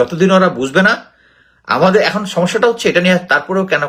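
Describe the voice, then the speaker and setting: His pitch is high. The voice is a man's. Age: 50s. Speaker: retired army officer and political commentator. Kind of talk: solo commentary monologue. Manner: halting, with frequent pauses.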